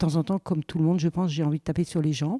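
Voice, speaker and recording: In a very clean, silent recording with a dry, close sound and no echo, a woman speaks in a dark, mellow tone. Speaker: tour guide. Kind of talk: interview testimony. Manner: hesitant.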